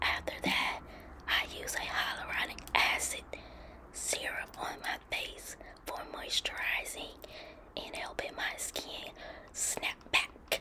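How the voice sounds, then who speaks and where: The woman whispers very slowly, pausing long and often. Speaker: lifestyle vlogger. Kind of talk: ASMR bedtime routine talk. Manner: whispery, soft-spoken.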